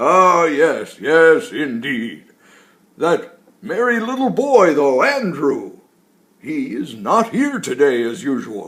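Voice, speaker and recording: A man puts on a high-pitched character voice with very wide pitch swings. He speaks very slowly. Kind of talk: bedtime story. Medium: read story. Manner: chuckling, slow and warm.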